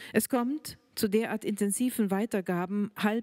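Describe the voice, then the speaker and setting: A woman with a German accent speaks at a medium pitch in a dark, mellow tone against a quiet background. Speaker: writer. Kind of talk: reading aloud. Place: hall. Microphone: handheld.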